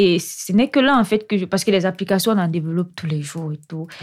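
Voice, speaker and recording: A woman with an ordinary speaking voice and a medium pitch is heard on a very clean recording with a silent background. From Cameroon, Yaoundé. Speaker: doctoral researcher in computer science. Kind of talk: interview.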